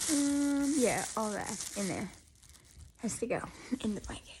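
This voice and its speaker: Her tone is dark and mellow, and somewhat breathy. This woman speaks with lively intonation. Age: 20s. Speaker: crochet vlogger. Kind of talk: casual vlog. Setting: at home. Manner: soft-spoken.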